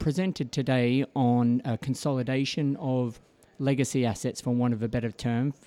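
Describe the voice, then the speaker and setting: With an Australian accent, a man talks at a moderate pace in a medium pitch, his tone dark and mellow, on a very clean recording with a silent background. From Australia, Melbourne. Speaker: financial services executive. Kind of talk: radio interview. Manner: hesitant, many fillers.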